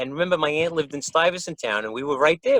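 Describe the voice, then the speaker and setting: A man with a New York accent speaks at a fairly high pitch. The sound is dry and close, with no echo. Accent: Bronx New York. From New York, the Bronx. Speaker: musician. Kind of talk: casual chat. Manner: animated.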